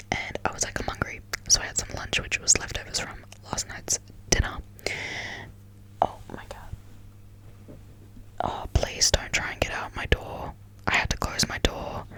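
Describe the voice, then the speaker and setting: The voice is whispering, with long, frequent pauses. Noticeable background noise runs underneath. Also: moderate pace. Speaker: ASMR content creator. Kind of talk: whispered ASMR ramble talking to camera. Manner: whispered, casual, chatty.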